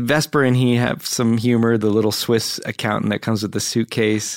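In a very clean recording with a silent background, a man with a normal speaking voice talks at a medium pitch with fairly even intonation. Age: 40s. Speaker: actor and comedian, film buff guest. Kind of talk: casual chat. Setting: studio.

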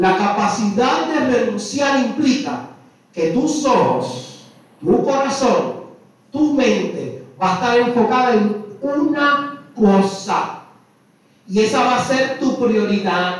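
A man with a Puerto Rican accent and an extremely high pitch, very slow in pace, with ordinary pitch variation, very even loudness, audible room echo and noticeable background noise. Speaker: priest. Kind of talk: sermon. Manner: slow, paced.

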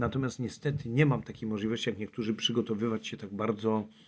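A man with a plain, everyday voice speaks at medium pitch and a fairly quick pace, with fairly even intonation. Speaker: climber and traveller. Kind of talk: interview.

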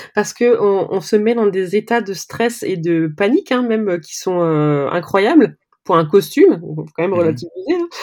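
With lively intonation and a dark, mellow tone, a woman speaks at a fairly slow pace. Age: 40s. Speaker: cosplayer. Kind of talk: casual interview.

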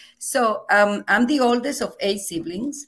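A woman with a Venezuelan accent, at a fairly slow pace and with ordinary pitch variation. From Venezuela, Margarita Island. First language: Spanish. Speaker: professor. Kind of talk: interview. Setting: video call. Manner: loud; animated, laughs often.

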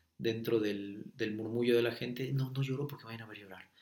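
A man speaks at a medium pitch. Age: 20s. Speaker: horse trainer. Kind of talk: interview conversation. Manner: animated.

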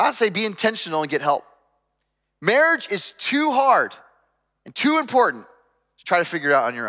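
A man speaks in a raised, projected voice, high-pitched with a bright, sharp tone and very wide pitch swings. His moderate pace is broken by long, frequent pauses, and his loudness swings widely. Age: 40s. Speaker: pastor. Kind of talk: sermon.

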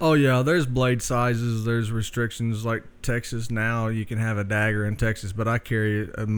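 Speaking at a medium pitch and moderate pace with fairly even intonation, a man comes through on a very clean recording with a silent background. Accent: Southern US. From Oklahoma. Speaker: knife maker. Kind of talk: casual interview, storytelling. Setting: in his workshop.

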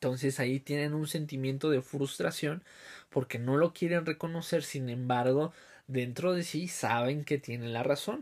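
A man with a Mexican accent talks at a fairly slow pace, his fairly high pitch held in fairly even intonation. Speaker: podcast host. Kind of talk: casual monologue. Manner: hesitant, many fillers.

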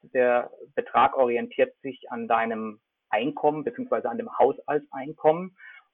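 There are big swings in loudness as a man speaks at a fairly slow pace. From Germany, Freiburg (Baden). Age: 40s. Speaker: sports marketing entrepreneur. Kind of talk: casual interview.

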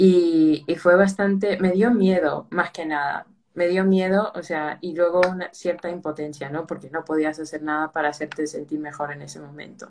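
A woman talks at a moderate pace in a plain, everyday voice. Her pitch sits fairly low, and her intonation stays fairly even. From United States, Peruvian family. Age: 20s. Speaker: mental health project organizer. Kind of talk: casual interview.

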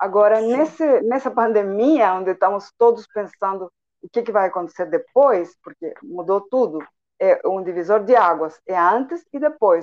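A woman's medium-pitched voice with a Spanish accent, lively intonation and a fairly slow pace. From Chile, Santiago. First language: Spanish (speaking Portuguese). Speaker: entrepreneur and translator. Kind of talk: radio interview.

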